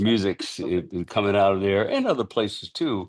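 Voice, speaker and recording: In a plain, everyday voice with an American accent, a man speaks at a fairly low pitch and a moderate pace against a quiet background. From San Francisco, US. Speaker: musician. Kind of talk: interview.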